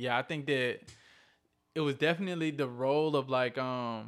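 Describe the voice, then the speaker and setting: A man's medium-pitched voice with a Southern US accent. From Columbus, Georgia, US South. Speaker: guest, movement activist. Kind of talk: casual interview chat. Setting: video call.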